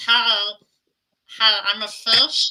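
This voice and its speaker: A put-on character voice, female-sounding. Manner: cheerful.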